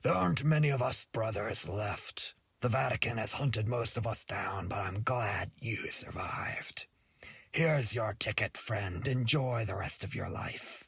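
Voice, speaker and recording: In a put-on character voice, a man sounds raspy at a medium pitch. The recording is very clean, with a silent background. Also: moderate pace. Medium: read story.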